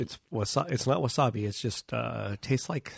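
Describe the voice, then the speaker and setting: This man talks at a moderate pace with vocal fry, recorded in a dry, close sound with no echo. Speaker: podcast co-host. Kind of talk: casual chat.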